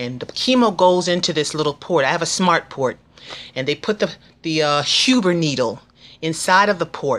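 Lively intonation marks this voice, which moves at a moderate pace. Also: woman, fairly low pitch for a woman. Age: 50s. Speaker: cancer patient vlogger. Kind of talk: tutorial. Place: home room.

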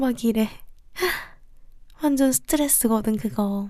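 A woman's voice, high in pitch, with ordinary pitch variation. Her tone is gentle, dark and mellow. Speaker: ASMR creator. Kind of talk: ASMR roleplay comforting a stressed younger brother. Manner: soft, gentle, affectionate.

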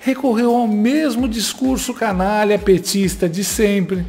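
A man speaks with a high pitch and lively intonation. Faint music plays in the background. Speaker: political commentator. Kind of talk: political commentary narration. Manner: sarcastic, mocking. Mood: mocking, sarcastic. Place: home room. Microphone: studio mic.

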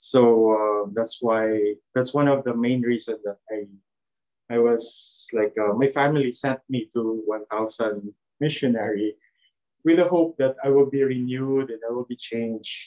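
A man with a Filipino accent, fairly even intonation and a fairly slow pace, over a quiet background. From Philippines. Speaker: former missionary volunteer. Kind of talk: testimony. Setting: video call. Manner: halting. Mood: reflective, calm. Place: home room. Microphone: video call.

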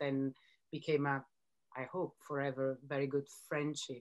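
A woman speaks at a moderate pace against a quiet background. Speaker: editor and broadcaster interviewing a designer. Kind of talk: panel conversation. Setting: video call. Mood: warm, reflective. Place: home room. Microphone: video call.

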